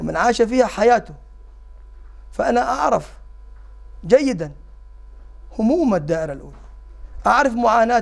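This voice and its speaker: A man with an extremely high pitch speaks at a moderate pace, his pitch swinging very widely, with long, frequent pauses over a quiet background. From Jordan, Amman; Jordan. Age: 50s. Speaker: parliamentary candidate; candidate. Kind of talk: interview. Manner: halting; formal. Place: studio. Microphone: lapel.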